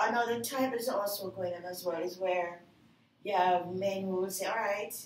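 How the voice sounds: A woman's fairly even intonation amid audible room echo. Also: medium pitch for a woman, moderate pace.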